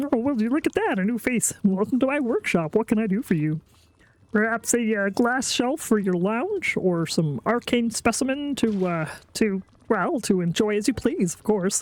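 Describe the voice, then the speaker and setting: A put-on character voice with a fairly high pitch. It moves at a moderate pace. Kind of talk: theatrical, hesitant shopkeeper patter. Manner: croaky.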